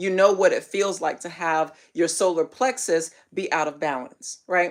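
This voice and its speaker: A woman's plain, everyday voice at medium pitch, on a very clean recording with a silent background. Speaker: spiritual teacher. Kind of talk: live stream teaching. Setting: livestream.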